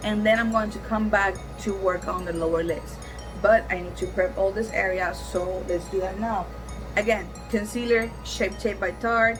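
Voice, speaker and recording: A woman with a Cuban accent speaks with music in the background. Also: moderate pace. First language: Spanish. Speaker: makeup vlogger. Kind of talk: casual makeup tutorial to camera. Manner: chatty, upbeat.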